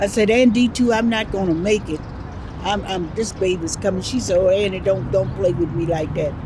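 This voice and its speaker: A woman talks at a fairly quick pace with ordinary pitch variation. Audible room echo and noticeable background noise surround her voice. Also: medium pitch for a woman. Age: 80s+. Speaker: reverend and civil rights activist. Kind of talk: oral history interview.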